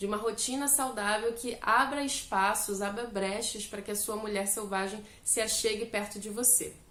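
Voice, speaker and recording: A woman talks at a moderate pace and medium pitch. Audible room echo and noticeable background noise surround her voice. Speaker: self-help youtuber. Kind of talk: book discussion monologue.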